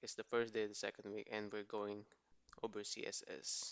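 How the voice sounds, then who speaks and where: A man speaks quietly at a moderate pace. His pitch is medium. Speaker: coding bootcamp student. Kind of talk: screen-share coding explanation. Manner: quiet, lowered voice; casual.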